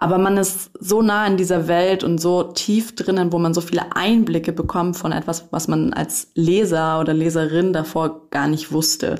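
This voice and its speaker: A woman's fairly low-pitched voice, fairly even in intonation, proceeds at a moderate pace with noticeable noise in the background. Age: 20s. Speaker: publishing trainee. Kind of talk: casual interview.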